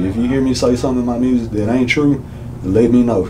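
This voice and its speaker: A man with an American accent speaks fairly quickly with fairly even intonation. Audible room echo and noticeable background noise are present. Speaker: rapper and instrumentalist. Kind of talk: interview.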